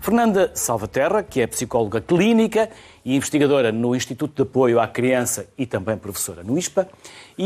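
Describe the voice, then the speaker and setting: Speaking at a moderate pace, a man uses a medium-pitched, dark and mellow voice with very wide pitch swings. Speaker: TV talk show host. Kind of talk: TV studio interview.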